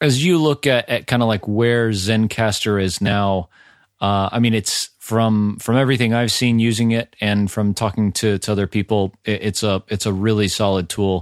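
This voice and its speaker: On a very clean recording with a silent background and a dry, close sound with no echo, a man with a fairly low pitch talks at a moderate pace with fairly even intonation. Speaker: podcast host. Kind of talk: casual interview. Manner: halting, filler-heavy.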